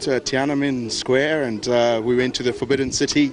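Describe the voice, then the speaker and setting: Noticeable background noise runs through this clip. A man at a medium pitch talks at a fairly quick pace. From South Africa, Johannesburg. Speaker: sports fan, tourist. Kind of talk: street interview. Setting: outdoors. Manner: hesitant.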